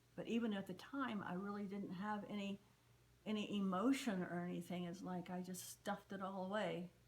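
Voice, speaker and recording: At a fairly quick pace, a woman with a medium pitch and fairly even intonation speaks over noticeable background noise. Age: 70s. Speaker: interviewee, daughter of a fallen WWII soldier. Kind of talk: interview testimony. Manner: halting, with fillers and repeats.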